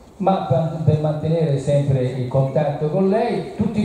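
Strong room echo and light background noise surround speech delivered at a fairly slow pace. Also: man. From Tuscany, Italy (Arezzo). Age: 60s. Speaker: nutritionist doctor. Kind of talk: public talk. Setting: outdoor event with audience. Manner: emphatic. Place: stage.

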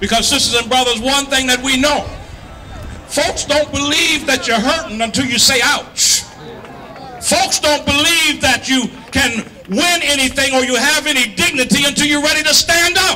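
Over crowd noise in the background, a man projects a raised voice at an extremely high pitch, with very even loudness, ordinary pitch variation and a moderate pace. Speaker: activist rally speaker. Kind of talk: fiery protest rally speech to a crowd, call-and-response style. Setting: outdoor rally with crowd. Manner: impassioned, rising oratorical rhythm with stacked repetitions; stammering in bursts while riffing off the crowd. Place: street. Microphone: handheld.

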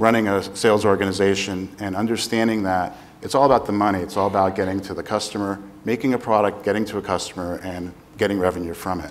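This man's voice has a fairly low pitch and a monotone, flat intonation. He talks at a very fast pace. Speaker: panelist. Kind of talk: panel talk, self-introduction. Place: stage. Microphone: lapel.

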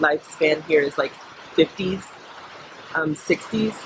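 A woman's very deep, low voice with fairly even intonation, over noticeable background noise. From United States. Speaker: social entrepreneur; interviewee. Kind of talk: interview. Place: farm machine.

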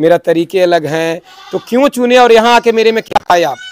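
Light background noise sits behind the recording. A man speaks at a high pitch with ordinary pitch variation. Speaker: goat farmer and trainer; trainer. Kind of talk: interview. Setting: goat farm. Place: farm machine. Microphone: handheld.

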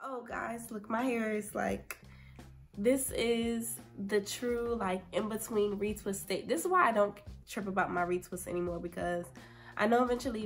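Faint music plays in the background as a woman with a fairly high pitch talks at a moderate pace in a relaxed tone with ordinary pitch variation. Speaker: hair care vlogger. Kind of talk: casual talk to camera. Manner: chatty, relaxed. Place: home room. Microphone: phone near.

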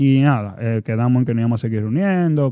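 In a dry recording with no echo and a quiet background, a man speaks in a dark, mellow tone with ordinary pitch variation. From Dominican Republic. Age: 30s. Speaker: basketball player and players' association president; guest. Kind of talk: casual interview. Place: studio. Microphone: studio mic.

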